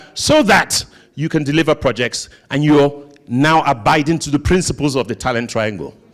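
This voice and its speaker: This man's voice carries vocal fry. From Nigeria. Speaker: conference speaker. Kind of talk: conference presentation.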